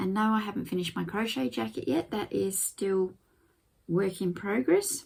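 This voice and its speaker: Her tone dark and mellow, a woman talks with lively intonation. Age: 60s. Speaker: gardening vlogger. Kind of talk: casual vlog.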